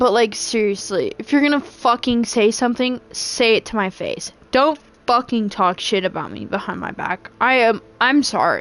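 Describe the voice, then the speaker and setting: Fairly high-pitched speech from a woman at a moderate pace, with ordinary pitch variation and noticeable background noise. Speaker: video game streamer. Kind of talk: casual chat.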